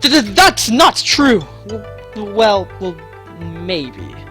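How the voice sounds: Over faint music in the background, a woman puts on a character voice that is very slow, fairly bright and medium in pitch, with big pitch swings.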